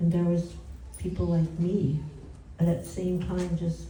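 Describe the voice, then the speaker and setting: The speaker's monotone, flat delivery moves at a fairly slow pace amid noticeable background noise. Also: woman. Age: 80s+. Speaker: spiritual teacher. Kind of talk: religious talk. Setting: home gathering.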